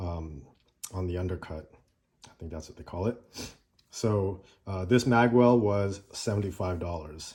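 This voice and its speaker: Against a silent background on a very clean recording, a man with a very deep, low pitch and a dark, mellow tone speaks at a fairly slow pace with ordinary pitch variation. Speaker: gun owner reviewer. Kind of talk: casual talk to camera. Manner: relaxed, hesitant with fillers.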